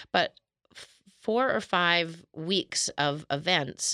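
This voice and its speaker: A woman speaks with a Canadian accent. The recording is very clean and dry, close with no echo and a silent background. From Canada, Calgary. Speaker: novelist and fashion publicist. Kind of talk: casual interview.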